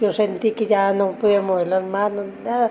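Over noticeable background noise, a woman with a medium pitch speaks at a moderate pace. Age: 60s. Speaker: stroke survivor. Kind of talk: testimony.

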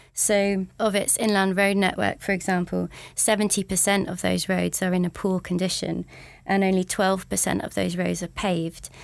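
A very clean recording with a silent background, featuring a woman at a moderate pace. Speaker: policy researcher. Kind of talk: interview.

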